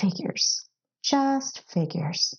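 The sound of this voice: A put-on character voice with a husky, rough edge, vocal fry, lively intonation and a very slow pace. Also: woman, high pitch for a woman.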